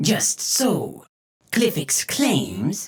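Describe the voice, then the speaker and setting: A man performs a put-on character voice. His pitch is high. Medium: read story. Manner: dry, skeptical.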